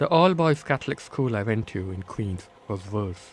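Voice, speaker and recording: A man with a Bombay accent speaks at a moderate pace. His voice is fairly low. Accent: Bombay Indian accent, kept. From India, Bombay. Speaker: author. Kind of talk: reading aloud from his book. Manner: measured, literary narration.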